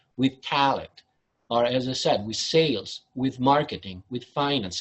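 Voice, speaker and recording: A man speaks with an Italian accent at a fairly high pitch. His pace is moderate and his pitch variation ordinary. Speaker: business consultant. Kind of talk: webinar presentation.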